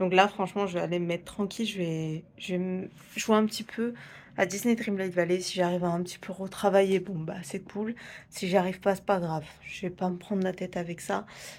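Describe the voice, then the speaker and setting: Her pitch medium and her intonation monotone and flat, a woman speaks at a fairly quick pace in a very clean recording with a silent background. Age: 20s. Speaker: vlogger. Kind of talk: casual vlog talk. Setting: at home. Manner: hesitant, many fillers; whispering.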